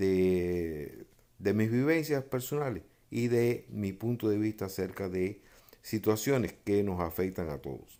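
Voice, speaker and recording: Very slow pace from a man with a fairly low voice and ordinary pitch variation. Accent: Cuban. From Cuba. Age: 70s. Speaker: freemason sharing memoirs. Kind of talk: personal testimony monologue. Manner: hesitant, many filler 'eh'.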